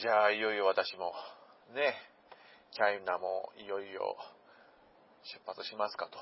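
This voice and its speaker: Speaking at a moderate pace with long, frequent pauses, a man with a fairly low pitch keeps a fairly even intonation while his loudness swings widely. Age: 40s. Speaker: podcast host. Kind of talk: casual monologue. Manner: rambling with many fillers.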